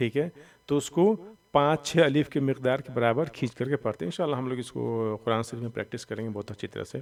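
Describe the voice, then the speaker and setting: Moderately paced and medium in pitch, a man's voice shows ordinary pitch variation. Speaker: Quran reading teacher. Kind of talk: tutorial.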